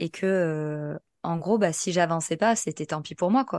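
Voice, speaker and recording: Her voice is fairly low-pitched, and this woman speaks fairly slowly with ordinary pitch variation. The sound is dry and close with no echo, in a very clean recording with a silent background. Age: 30s. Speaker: podcast guest sharing personal testimony. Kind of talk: testimony. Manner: halting.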